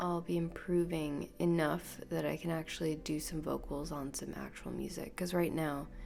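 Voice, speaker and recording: With hardly any pauses, a woman speaks in a relaxed tone at a moderate pace amid audible room echo. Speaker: podcast host. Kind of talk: casual monologue. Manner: rambling, relaxed.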